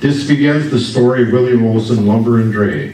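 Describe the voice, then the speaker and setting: A man's medium-pitched voice with an Upper Midwest US accent, fairly slow and lively in intonation, over noticeable background noise and audible room echo. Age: 70s. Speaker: local business owner and family historian. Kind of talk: public history presentation. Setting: stage with audience at history festival.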